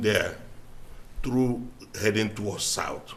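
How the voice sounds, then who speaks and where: A man speaks at medium pitch with audible room echo. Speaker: daycare owner, public commenter. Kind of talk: public comment. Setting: county board meeting. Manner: halting.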